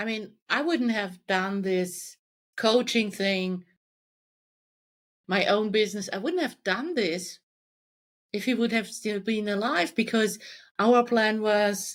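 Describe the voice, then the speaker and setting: A woman with a German accent, fairly high-pitched, with ordinary pitch variation, at a very slow pace with long, frequent pauses, in a very clean recording with a silent background. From Germany. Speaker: life coach. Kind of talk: podcast interview.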